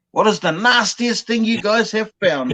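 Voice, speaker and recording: A man with a New Zealand accent speaks at a very slow pace, his high pitch bright and sharp in tone with ordinary pitch variation. The sound is dry and close with no echo. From New Zealand, Bay of Plenty, North Island. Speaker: dumpster diver. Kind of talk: casual chat. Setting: live stream.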